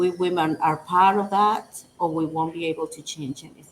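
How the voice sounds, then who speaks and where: With a Dominican accent, a woman speaks in a fairly low pitch and a monotone, flat intonation. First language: Spanish. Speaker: women's rights organization director. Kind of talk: interview. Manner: halting.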